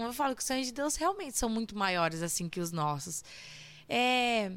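Very clean and silent behind her, a woman speaks in an animated tone at a fairly high pitch with very wide pitch swings. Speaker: church worship leader. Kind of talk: casual interview about faith and music. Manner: animated, laughing often.

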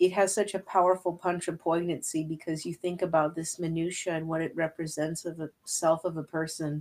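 Her pitch low and barely moving, a woman talks at a fairly quick pace in a slightly mellow tone.

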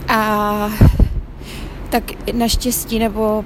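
Fairly high female voice, with noticeable noise in the background. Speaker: podcaster. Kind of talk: spiritual testimony. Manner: halting, hesitant.

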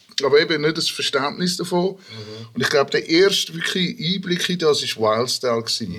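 Speaking at a moderate pace, a man has a high pitch and a bright, sharp tone. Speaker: rapper and hip-hop producer. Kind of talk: casual chat.

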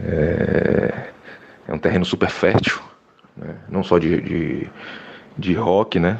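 A man at a very deep, low pitch, with ordinary pitch variation, long, frequent pauses and noticeable background noise. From Salvador, Bahia, Brazil. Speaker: musician. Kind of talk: interview. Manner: halting, many fillers.

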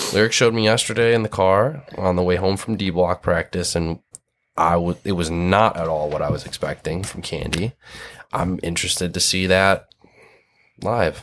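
A man with a Michigan accent, a very deep, low pitch, ordinary pitch variation and a moderate pace. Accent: Midwestern US (Michigan). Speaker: hardcore band musician and zine maker. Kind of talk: casual chat.

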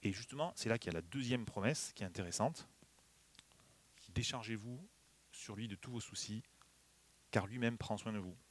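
At a medium pitch, a man speaks with ordinary pitch variation, long and frequent pauses, and big swings in loudness. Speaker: preacher. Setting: church. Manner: warm, light humor, earnest and exhortative when applying the text.

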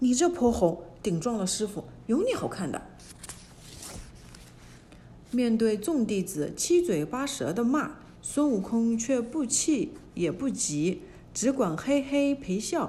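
Noticeable background noise surrounds a woman with a fairly high pitch. She talks at a very slow pace with very wide pitch swings. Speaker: storyteller narrator. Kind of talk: fairy-tale narration for children, reading a classic story aloud.

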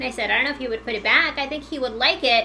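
Raised and projected, a woman's high-pitched voice moves very fast with ordinary pitch variation over noticeable background noise. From Portugal, moved to US as a child. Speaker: Halloween house decorator. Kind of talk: casual interview. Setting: at home.

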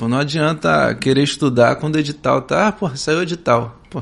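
A man at a fairly quick pace, his fairly high pitch showing ordinary variation. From São Gonçalo, Rio de Janeiro state, Brazil. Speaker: federal highway police officer. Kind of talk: casual interview. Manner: hesitant, many fillers.

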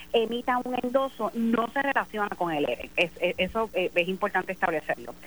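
A woman with an ordinary speaking voice talks at a fairly high pitch with ordinary pitch variation. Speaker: election commission chair and judge. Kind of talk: phone interview. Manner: formal.

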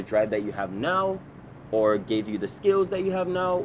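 This man's pitch swings very widely as he talks. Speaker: podcast host. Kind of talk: casual interview chat.

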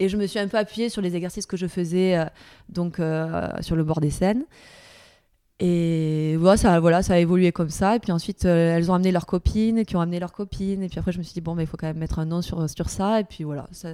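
Speaking with a southern French accent, a woman uses a fairly low, dark, mellow voice at a fairly quick pace with fairly even intonation. The recording is very clean, with a silent background. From southern France, Perpignan. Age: 30s. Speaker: dancer and choreographer. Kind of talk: interview. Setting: dance studio.

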